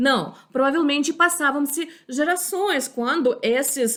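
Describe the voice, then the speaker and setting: Speaking fairly slowly with lively intonation, a woman is heard on a very clean recording with a silent background. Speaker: history teacher. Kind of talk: lecture. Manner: halting, many fillers.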